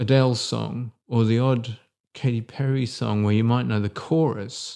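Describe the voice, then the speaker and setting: Against a quiet background, a man with an English accent speaks in a dark, mellow tone. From England. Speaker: podcast co-host. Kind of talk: casual chat. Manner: halting.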